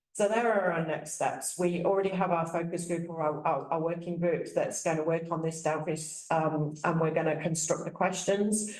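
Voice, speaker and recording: The room has an audible echo, and background noise is noticeable. The intonation stays fairly even. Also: woman, moderate pace. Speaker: professor. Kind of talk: conference presentation. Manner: halting, many repetitions.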